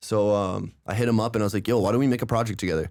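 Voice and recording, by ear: The pace is fast. The tone is slightly mellow. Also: man.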